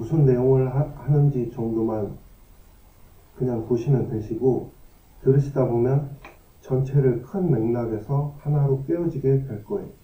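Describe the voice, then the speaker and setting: A man's medium-pitched, somewhat breathy voice with a dark, mellow tone, ordinary pitch variation, and a fairly slow pace, plus audible room echo. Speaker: lecturer on own science theories. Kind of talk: lecture. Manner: halting.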